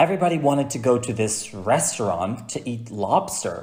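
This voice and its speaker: Audible room echo surrounds a man's somewhat breathy voice at medium pitch. He talks at a moderate pace with lively intonation. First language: Dutch. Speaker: cruise ship performer. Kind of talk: casual chat.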